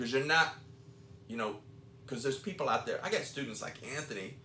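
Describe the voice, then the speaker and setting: Audible room echo surrounds a man talking at medium pitch with lively intonation. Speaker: podcast co-host and jiu-jitsu school owner. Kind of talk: casual chat.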